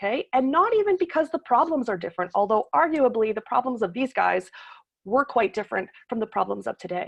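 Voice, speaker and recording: A woman with a Canadian accent talks at a fairly quick pace, her high pitch making very wide swings. The sound is dry and close, with no echo. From Toronto, Canada. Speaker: political science professor. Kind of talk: lecture. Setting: video call. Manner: fast.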